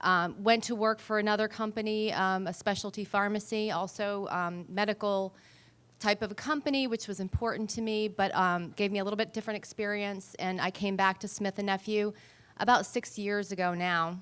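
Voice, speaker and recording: Woman with a New England accent, medium pitch, fairly even intonation, fairly quick pace, very clean recording with a silent background. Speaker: talent acquisition director. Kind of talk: panel introduction.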